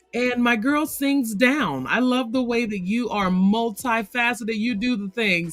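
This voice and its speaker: A woman talks at a fairly slow pace in an animated tone, with fairly high pitch and ordinary pitch variation. Music plays in the background. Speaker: podcast host. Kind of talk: casual chat.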